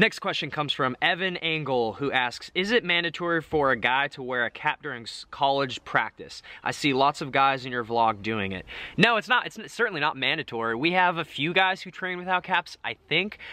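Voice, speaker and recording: Recorded dry with no echo, a man talks at a fairly quick pace with lively intonation. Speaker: vlogger. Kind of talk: casual vlog chat, Q&A answers. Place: garden. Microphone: phone near.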